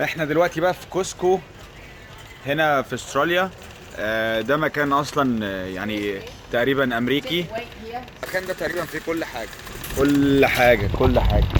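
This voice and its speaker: Lively intonation marks this man's fairly high voice. He leaves long, frequent pauses amid noticeable background noise. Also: moderate pace. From Egypt. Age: 20s. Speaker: vlogger. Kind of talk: casual vlog. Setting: in a shop.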